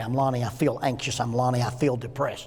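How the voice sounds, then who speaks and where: A man speaks with a Southern US accent, and room echo can be heard. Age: 60s. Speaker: minister and psychology counselor teaching a class. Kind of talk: lecture. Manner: conversational, humorous.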